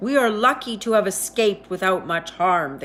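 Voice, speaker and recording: A woman growls through a put-on character voice at a medium pitch, with lively intonation and a moderate pace, over light background noise. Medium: read story.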